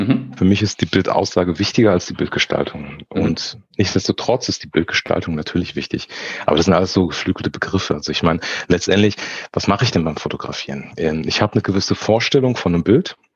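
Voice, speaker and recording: This man has a very deep, low pitch with ordinary pitch variation. Noticeable background noise runs behind him. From Frankfurt, Germany. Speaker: photographer. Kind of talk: casual interview. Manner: halting, many fillers.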